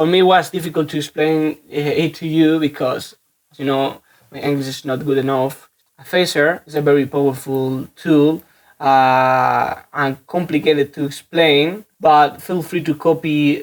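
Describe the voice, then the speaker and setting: This voice has a Spanish accent. The pace is fairly slow. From Spain. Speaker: music producer. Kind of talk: tutorial. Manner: halting.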